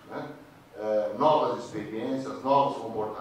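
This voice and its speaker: Someone speaks at a fairly slow pace. The room echo is audible, and background noise is noticeable. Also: man. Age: 60s. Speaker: audience member. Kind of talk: public comment at a debate. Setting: cinema auditorium with audience.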